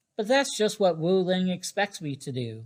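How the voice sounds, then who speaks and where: This is a put-on character voice at a middle pitch. The pace is moderate. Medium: read story. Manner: boastful, competitive.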